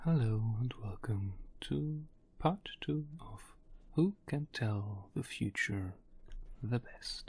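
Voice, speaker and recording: Someone whispers at a very slow pace. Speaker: crypto market analyst. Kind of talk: ASMR crypto statistics explainer. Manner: whispered.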